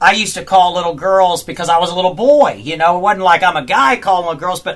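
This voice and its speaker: Noticeable background noise sits behind a man with a Southern US accent. His pitch is high with ordinary variation, and his pace is fairly quick. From US South (Georgia). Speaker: country singer. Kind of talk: interview. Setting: studio.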